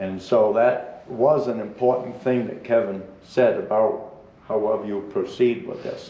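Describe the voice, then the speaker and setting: With a New England accent, a man of medium pitch speaks at a fairly slow pace with ordinary pitch variation, over noticeable background noise. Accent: rural New England. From New Hampshire, Belknap County. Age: 70s. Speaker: public commenter, hunter. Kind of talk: public comment at meeting. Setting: public meeting at microphone. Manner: halting.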